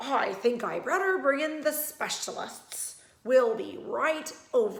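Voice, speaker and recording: A woman's raspy, put-on character voice, high-pitched with very wide pitch swings, at a fairly slow pace with audible echo. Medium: read story. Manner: mumbling.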